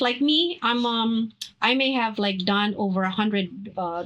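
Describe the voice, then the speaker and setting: Speaking at a very slow pace, a woman with a Filipino accent uses a fairly high pitch and ordinary pitch variation. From Philippines. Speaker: actress and dancer. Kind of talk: interview. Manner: halting, many fillers.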